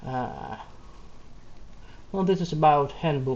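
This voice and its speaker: A man with a Russian accent speaks at a fairly high pitch. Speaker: backend developer. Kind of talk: reading aloud; casual talk. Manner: halting.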